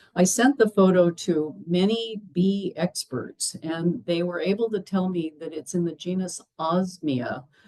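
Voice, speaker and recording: A woman speaks at medium pitch and a fairly slow pace, her pitch variation ordinary. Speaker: retired botanist, guest speaker. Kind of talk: lecture. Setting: talk to an audience, also streamed on Zoom. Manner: projecting teacher voice. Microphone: speaking through a mic and speakers, picked up by a laptop.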